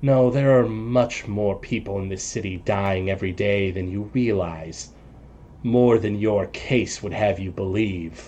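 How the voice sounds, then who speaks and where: A man puts on a character voice with a fairly low pitch, speaking at a fairly slow pace. Clear background noise is present. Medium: actual play. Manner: ominous, portentous.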